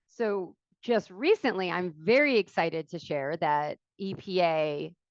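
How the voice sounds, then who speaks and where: A woman with an American accent speaks at a medium pitch. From Philadelphia area, US. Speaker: environmental agency watershed coordinator. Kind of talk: webinar presentation. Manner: fast.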